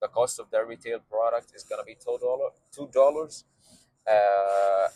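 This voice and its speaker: A man with an Arabic accent at a moderate pace, in a dry, close sound with no echo. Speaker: vlogger and beverage entrepreneur. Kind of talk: casual vlog monologue. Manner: halting, many fillers.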